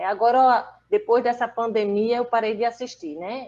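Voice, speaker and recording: At a moderate pace, a woman talks with a fairly high pitch in an unremarkable speaking voice. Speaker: person living with aphasia. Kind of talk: casual chat.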